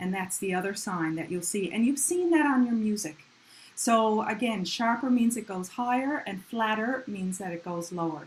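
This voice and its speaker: A woman talks in an ordinary speaking voice, pitched fairly high. Her intonation is lively and her pace moderate. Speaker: music teacher. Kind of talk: online community music lesson.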